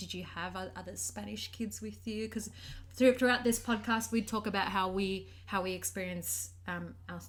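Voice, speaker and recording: A woman speaks with an Australian accent. Room echo is audible. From Sydney, Australia. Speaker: podcast co-host. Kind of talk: casual chat.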